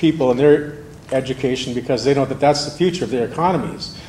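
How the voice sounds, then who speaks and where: Amid noticeable background noise, a man talks at a very fast pace with a fairly high pitch and fairly even intonation. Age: 60s. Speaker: manufacturing company manager speaking at public forum. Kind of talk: public forum speech. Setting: school auditorium.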